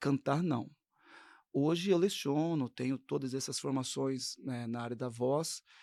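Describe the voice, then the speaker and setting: A man speaks in a dark, mellow tone with ordinary pitch variation, recorded very cleanly against a silent background with a dry, close sound and no echo. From São Paulo, Brazil. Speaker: gospel singer and voice teacher. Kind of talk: interview.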